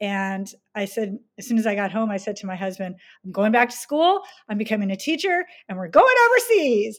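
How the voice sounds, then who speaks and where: Over a very clean recording with a silent background, a woman talks in a normal speaking voice at a fairly high pitch and a fairly quick pace, with lively intonation and big swings in loudness. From US, army family, moved often. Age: 50s. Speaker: international teacher. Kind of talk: casual chat.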